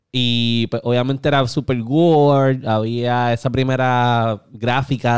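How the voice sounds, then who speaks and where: A man speaks at a medium pitch. He has a Puerto Rican accent. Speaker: gaming podcast host. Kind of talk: casual chat. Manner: animated.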